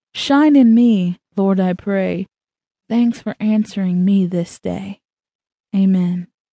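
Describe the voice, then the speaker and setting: At a very slow pace with long, frequent pauses, a woman speaks in a somewhat breathy, dark, mellow tone with ordinary pitch variation and a dry, close sound with no echo. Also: medium pitch for a woman. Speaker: audiobook narrator. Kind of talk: fervent prayer in rhyming verse, read aloud. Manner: earnest, devout, pleading.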